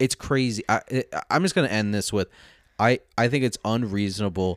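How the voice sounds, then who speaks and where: Using a plain, everyday voice, a man speaks at a fairly quick pace and a fairly low pitch, with ordinary pitch variation and a dry, close sound without echo. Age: 20s. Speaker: podcast host. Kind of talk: casual chat. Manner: casual, talkative, swears often.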